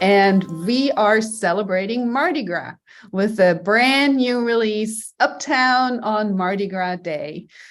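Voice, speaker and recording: In a German accent, a woman speaks at a very slow pace with ordinary pitch variation on a very clean recording with a silent background. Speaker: jazz podcast host and pianist. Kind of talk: interview.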